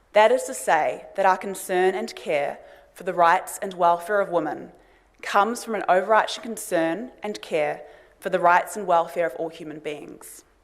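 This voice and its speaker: A woman with a New Zealand accent speaks at a moderate pace, her medium pitch showing ordinary variation. Room echo is audible. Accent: New Zealand accent, noticeable to Australians. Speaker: lawyer and think tank director, conference speaker. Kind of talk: conference talk. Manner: formal.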